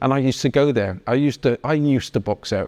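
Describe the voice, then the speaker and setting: Speaking with a Bristol accent, a man has a fairly high pitch, ordinary pitch variation and a dark, mellow tone. The sound is dry and close with no echo, on a very clean recording with a silent background. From Bristol, England (Easton). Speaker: podcast host. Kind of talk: casual interview chat. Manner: animated.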